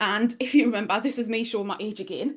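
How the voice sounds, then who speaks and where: Delivered at a very fast pace, this voice has a strong Geordie accent and an animated tone. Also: woman. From northeast England, Newcastle. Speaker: online business strategist and mentor. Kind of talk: workshop presentation.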